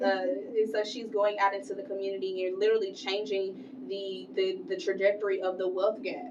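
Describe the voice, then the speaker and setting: With noticeable background noise and audible room echo, a woman at medium pitch talks at a fairly quick pace in an animated tone, her pitch varying in an ordinary way. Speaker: podcast host. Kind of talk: casual interview chat. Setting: studio. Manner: loud.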